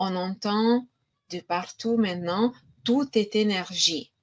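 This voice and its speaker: A woman's fairly high voice with a slight Romanian accent, very slow pace and ordinary pitch variation. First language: Romanian (speaking French). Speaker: energy healing practitioner. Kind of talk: online conference talk. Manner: hesitant, many fillers.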